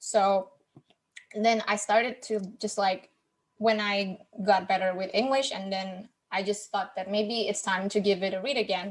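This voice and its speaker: Using a non-native accent, a woman of medium pitch talks at a moderate pace with fairly even intonation. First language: not English. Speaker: podcast host, guest on book podcast. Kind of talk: casual chat. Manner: halting, with many repeated words.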